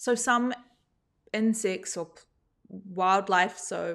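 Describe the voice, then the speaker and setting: In a very clean recording with a silent background, a woman speaks with a New Zealand accent. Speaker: gardening podcast host. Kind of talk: live show talk.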